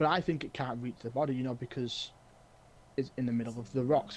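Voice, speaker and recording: A somewhat breathy whisper at a fairly quick pace. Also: man. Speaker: gaming streamer. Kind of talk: live gameplay stream chat. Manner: halting, repetitive; whispering.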